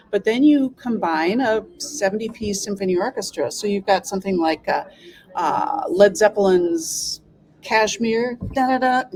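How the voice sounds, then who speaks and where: Amid noticeable background noise, a woman with an American accent speaks at a fairly high pitch with lively intonation. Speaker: symphony orchestra staff, arts administrator. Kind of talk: casual interview chat. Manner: animated.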